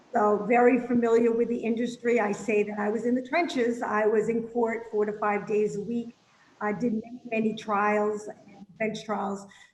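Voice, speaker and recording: With a slight Boston accent, a woman speaks at a moderate pace in a fairly high pitch and a monotone, flat intonation. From Boston, Massachusetts. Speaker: legal services representative, former attorney. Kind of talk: casual interview.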